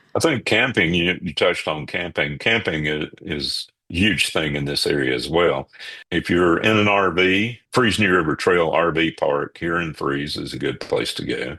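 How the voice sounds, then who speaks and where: This man's very deep, low voice has a bright, sharp tone and vocal fry, moving at a moderate pace with ordinary pitch variation. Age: 60s. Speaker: local photographer. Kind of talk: casual interview.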